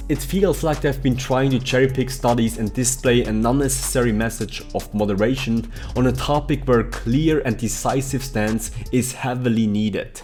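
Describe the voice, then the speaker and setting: With music playing in the background, a man at medium pitch talks at a moderate pace with fairly even intonation. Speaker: vegan fitness coach. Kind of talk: commentary video to camera. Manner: casual, argumentative.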